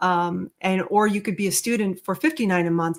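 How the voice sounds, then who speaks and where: A woman's unremarkable speaking voice at medium pitch with fairly even intonation. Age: 60s. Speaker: medical coding educator and webinar host. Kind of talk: live Q&A podcast with callers. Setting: online live stream with guests joining on stage. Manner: casual, many fillers and restarts.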